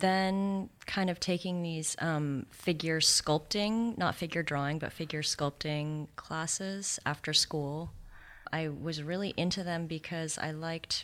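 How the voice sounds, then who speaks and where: A woman with an American accent and a very deep, low pitch speaks with fairly even intonation on a very clean recording with a silent background. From Santa Monica, California. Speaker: sculptor. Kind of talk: interview conversation. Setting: studio.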